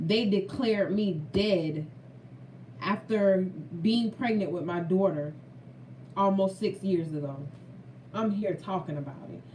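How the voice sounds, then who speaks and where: A woman with a medium pitch speaks in an animated tone at a fairly slow pace, with ordinary pitch variation. Long, frequent pauses break up her speech, and the room echo is audible. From Florida. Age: 30s. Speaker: food vlogger. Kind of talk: casual chat; testimony.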